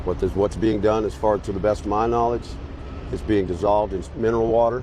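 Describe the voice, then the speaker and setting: A man talks at a moderate pace in a fairly low voice. Noticeable background noise is present. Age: 60s. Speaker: homeless man interviewed on the street. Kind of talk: street interview. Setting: outdoors in a city square.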